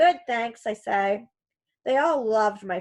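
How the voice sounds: The background is quiet. The speaker uses a natural reading voice.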